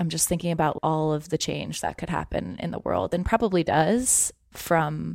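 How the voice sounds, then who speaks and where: In a very clean recording with a silent background and a dry, close sound with no echo, a woman with an ordinary speaking voice talks at a moderate pace in a fairly low pitch. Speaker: podcast co-host. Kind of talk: casual chat.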